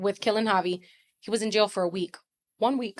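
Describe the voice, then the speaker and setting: In a dry, close sound with no echo, a woman talks at a moderate pace with ordinary pitch variation. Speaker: bereaved mother and road-safety advocate. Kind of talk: emotional interview testimony. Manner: loud; blunt, raw and emphatic.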